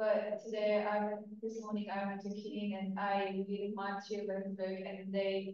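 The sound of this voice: A woman's medium-pitched, slightly mellow voice at a fairly slow pace, with monotone, flat intonation and strong room echo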